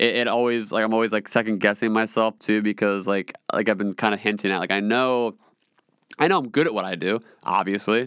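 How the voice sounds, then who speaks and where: Ordinary pitch variation marks a man's fairly low voice. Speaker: podcast host. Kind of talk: solo monologue, casual personal talk. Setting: home studio in a small room. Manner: rambling, casual, talkative.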